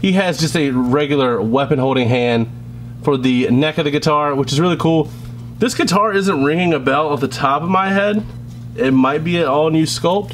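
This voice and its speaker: Noticeable background noise sits behind a man with a fairly high pitch. His loudness stays very even, and his pitch varies in an ordinary way. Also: moderate pace. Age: 20s. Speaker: toy reviewer. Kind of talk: product review. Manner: casual, hesitant with fillers.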